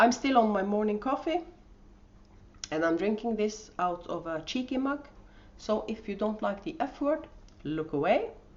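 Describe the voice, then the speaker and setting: Speaking at a moderate pace with long, frequent pauses, a woman has a fairly high pitch and a strong Norwegian accent. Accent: thick Norwegian. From Norway. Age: 50s. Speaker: podcast host and yarn dyer. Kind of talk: casual podcast monologue. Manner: hesitant, with many fillers.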